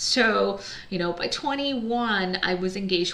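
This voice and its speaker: A moderate pace with noticeable background noise and audible room echo. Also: woman. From United States. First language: Chinese. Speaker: entrepreneur, business founder. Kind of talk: personal story monologue. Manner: casual, conversational.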